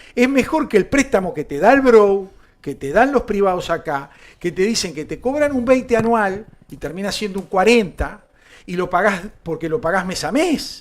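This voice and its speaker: In a Uruguayan accent, a man speaks at a moderate pace in a high, animated voice with lively intonation. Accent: Uruguayan Rioplatense Spanish. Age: 60s. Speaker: political talk show host. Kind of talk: political commentary chat.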